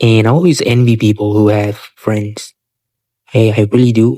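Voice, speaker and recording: A man with a non-native accent speaks at medium pitch in a dark, mellow tone with fairly even intonation, in a dry, close sound with no echo. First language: not English. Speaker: vlogger. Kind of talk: casual monologue. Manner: halting, many fillers.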